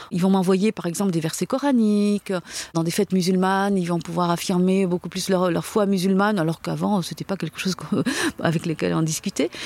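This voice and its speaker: Delivered at a fairly quick pace with fairly even intonation, the speech has a dry, close sound with no echo and a very clean, silent background. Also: woman, medium pitch for a woman. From France, Algerian parents. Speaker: convert from Islam to Christianity. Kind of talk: testimony. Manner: halting.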